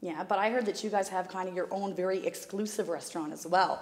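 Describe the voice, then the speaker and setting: Words pour out at a very fast pace from a woman. Noticeable background noise is present. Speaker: charity representative. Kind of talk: interview.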